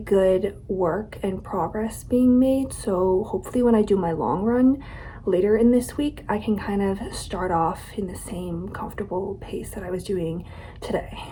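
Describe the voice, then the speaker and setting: Noticeable background noise sits behind a woman speaking at a medium pitch and moderate pace. Her pitch varies in an ordinary way. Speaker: vlogger. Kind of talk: casual vlog monologue.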